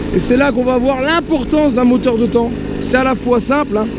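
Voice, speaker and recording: A man talks at a fairly quick pace while noticeable background noise lingers behind him. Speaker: moped vlogger. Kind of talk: casual vlog, test ride commentary. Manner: halting, stumbling over words.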